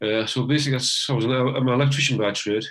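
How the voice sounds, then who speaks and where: A man speaks with a Teesside accent at a fairly quick pace. His pitch varies in an ordinary way. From northeast England, Teesside. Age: 60s. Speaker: retired electrician, amateur harmonica player. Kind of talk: casual interview. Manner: halting, many false starts.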